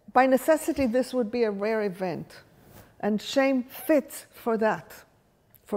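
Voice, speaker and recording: With an Israeli accent, a woman speaks at a moderate pace in a fairly high pitch, her tone dark and mellow and her pitch variation ordinary. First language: Hebrew. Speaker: workshop leader. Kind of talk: lecture.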